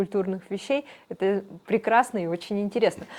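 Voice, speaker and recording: A woman talks in a plain, everyday voice at medium pitch. Her pace is moderate, with ordinary pitch variation. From Irkutsk Oblast, Siberia. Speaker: interviewer. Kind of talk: interview. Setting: studio.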